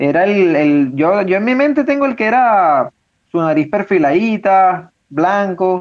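A man's high-pitched voice at a fairly slow pace, with lively intonation and very even loudness. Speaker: podcast co-host. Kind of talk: casual chat.

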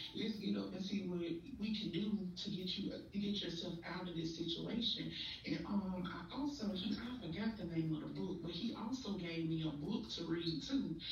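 A woman's medium-pitched voice at a moderate pace, with hardly any pauses, ordinary pitch variation, audible room echo and noticeable background noise. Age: 40s. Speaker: guest sharing mental health experience. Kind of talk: testimony.

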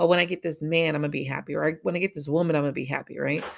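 Her voice sits very deep and low for a woman, with vocal fry. The tone is animated. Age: 40s. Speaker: podcast host and spiritual reader. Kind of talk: casual monologue.

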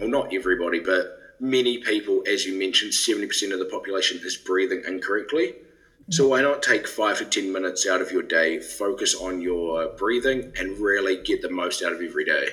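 Someone with a New Zealand accent talks at a fairly quick pace, with hardly any pauses. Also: man. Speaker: breath training company scientist. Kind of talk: interview.

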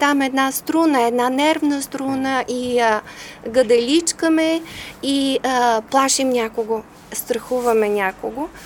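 Over noticeable background noise, a woman with a high pitch speaks at a fairly slow pace and with ordinary pitch variation. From Bulgaria, Devnya near Varna. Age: 50s. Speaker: speech therapist and civic activist. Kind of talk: interview.

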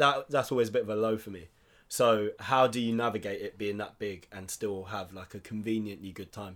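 A man talks in an ordinary speaking voice at a fairly low pitch and a fairly quick pace, with fairly even intonation and big swings in loudness. The recording is very clean, with a silent background. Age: 20s. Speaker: podcast co-host. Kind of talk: casual chat.

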